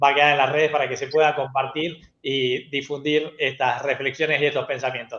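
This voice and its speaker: Moderate-paced speech from a man in a normal speaking voice. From Argentina. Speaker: TV show host, educational technology specialist. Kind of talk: panel show closing.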